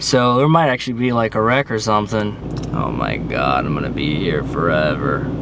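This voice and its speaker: A man talks with a Pennsylvania accent. Noticeable background noise runs behind him. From Central Pennsylvania. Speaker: vlogger. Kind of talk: casual vlog. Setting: in a car.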